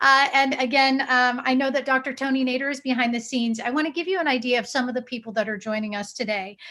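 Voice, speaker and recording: A high-pitched woman's raised, projected voice with an American accent, very fast with hardly any pauses, bright and sharp in tone, with ordinary pitch variation. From United States. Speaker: TV host and journalist. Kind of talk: live event hosting. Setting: video call.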